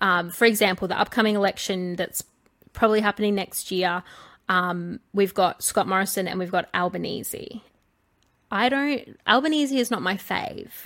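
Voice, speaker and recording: With an Australian accent, a woman speaks at a moderate pace in a medium pitch with ordinary pitch variation, on a very clean recording against a silent background. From small-town Australia. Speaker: podcast co-host. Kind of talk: casual chat.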